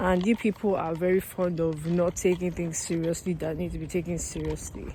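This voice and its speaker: A woman speaks with monotone, flat intonation. There is noticeable background noise. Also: fairly quick pace. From Nigeria (Lagos). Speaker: vlogger. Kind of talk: casual vlog rant. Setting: outdoors, walking by a road. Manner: casual, rambling with many fillers.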